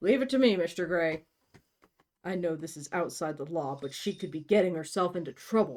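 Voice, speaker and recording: A raspy put-on character voice at middle pitch and a fairly quick pace. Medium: read story. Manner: terse, deferential.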